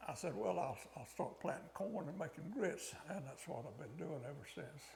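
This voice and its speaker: Fairly high-pitched and somewhat breathy, a man moves at a moderate pace with very wide pitch swings. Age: 80s+. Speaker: regenerative cattle farmer. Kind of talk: interview answer.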